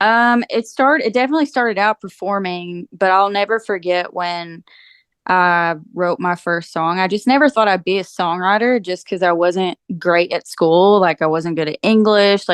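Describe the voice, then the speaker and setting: In a strong eastern Kentucky accent, a woman speaks at medium pitch and a moderate pace with ordinary pitch variation. The sound is dry and close with no echo, over a quiet background. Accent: eastern Kentucky, thick. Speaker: country singer-songwriter. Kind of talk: interview. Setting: podcast.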